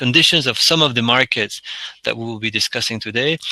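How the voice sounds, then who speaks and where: With a French accent, a man speaks at medium pitch and a moderate pace in a bright, sharp tone, the sound dry and close with no echo. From France. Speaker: energy storage consultant. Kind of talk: webinar presentation. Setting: online webinar. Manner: halting, many fillers and restarts.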